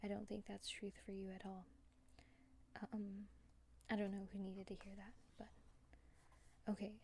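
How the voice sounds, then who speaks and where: A woman with a medium pitch speaks quietly and somewhat breathily in a flat monotone, with long, frequent pauses. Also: moderate pace. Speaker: tarot card reader. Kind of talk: pick a card tarot reading.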